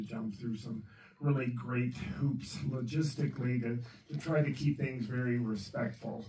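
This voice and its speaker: A man talks at a moderate pace with ordinary pitch variation. Audible room echo and light background noise are present. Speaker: speaker. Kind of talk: presentation talk. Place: meeting room.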